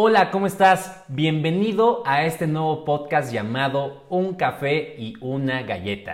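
A man with a Mexico City accent speaks in a fairly high pitch with lively intonation and hardly any pauses. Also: fairly slow pace. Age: 20s. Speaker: podcast co-host, real estate agent. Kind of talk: casual chat.

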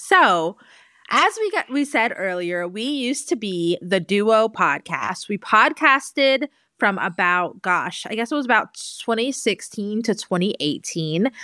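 A woman speaks at a fairly slow pace with a fairly high pitch, very wide pitch swings and a bright, sharp tone. The recording is very clean, with a silent background and a dry, close sound with no echo. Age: 30s. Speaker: podcast co-host and content creator. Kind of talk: casual chat.

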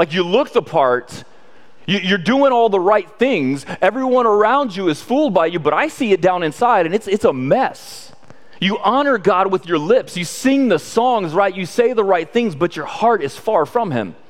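Very wide pitch swings mark this moderately paced speech, heard over noticeable background noise. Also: man, high pitch for a man. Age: 30s. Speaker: pastor. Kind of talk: sermon.

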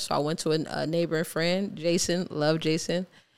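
Speaking in an American accent, a woman uses a fairly low pitch and a monotone, flat intonation at a fairly quick pace. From Ohio, Cleveland. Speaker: artist and filmmaker. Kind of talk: casual interview.

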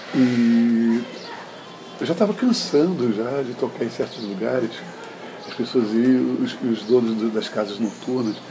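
Through audible room echo and noticeable background noise, a man talks at a fairly slow pace with fairly even intonation. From Brazil, Recife (Pernambuco), then moved away. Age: 60s. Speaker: musician and cultural producer. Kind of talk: interview. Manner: hesitant, many fillers.

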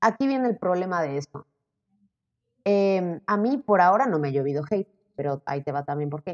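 The sound is dry and close with no echo, and the pace is fairly quick. Pitch swings very widely, broken by long, frequent pauses. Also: woman, fairly low pitch for a woman. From Mexico, Zacatecas. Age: 20s. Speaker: model and social media creator. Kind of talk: casual interview.

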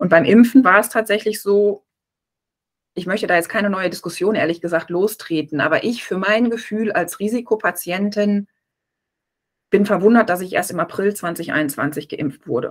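Here is a woman with an ordinary speaking voice, pitched in the medium range. Her pace is moderate and her pitch varies in an ordinary way. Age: 40s. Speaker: press officer and author, breast cancer survivor. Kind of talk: interview, personal testimony.

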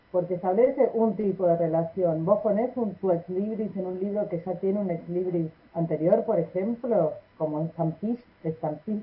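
There is noticeable background noise as a woman speaks at a moderate pace. Her pitch is medium, with ordinary variation. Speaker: library radio segment host. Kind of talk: casual radio chat.

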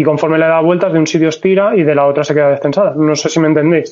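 A man with a fairly high pitch and fairly even intonation, amid noticeable background noise. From Valencia, Spain. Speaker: motorcyclist, podcast listener. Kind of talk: casual chat.

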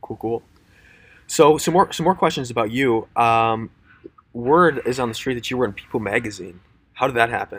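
A man with an American accent speaks at a moderate pace in a medium-pitched voice, leaving long, frequent pauses. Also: ordinary pitch variation. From Minnesota, US. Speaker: podcast host. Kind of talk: casual interview chat. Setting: live-streamed podcast.

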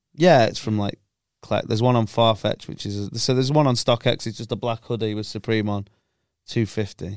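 In a northwest English accent, a man at medium pitch talks at a fairly quick pace, the sound dry and close with no echo in a very clean recording with a silent background. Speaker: podcast host, football fan. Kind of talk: casual banter chat. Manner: joking, profane, banter.

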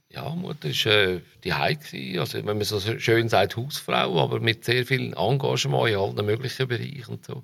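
With a Zurich accent, a man speaks at a moderate pace in a fairly low pitch with vocal fry and very wide pitch swings. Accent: local Dietikon Swiss German. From Switzerland, Dietikon near Zurich. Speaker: journalist and musician. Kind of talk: casual interview.

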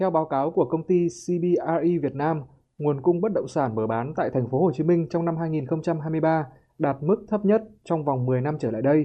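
Male speech in a normal speaking voice, fairly high, with typical pitch movement and a medium tempo. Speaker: radio reporter. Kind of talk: news report.

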